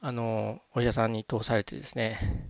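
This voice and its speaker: Here a man talks in a relaxed tone at a fairly slow pace. The sound is dry and close, with no echo. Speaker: podcast host. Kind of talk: casual solo podcast monologue. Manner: relaxed, conversational, some fillers.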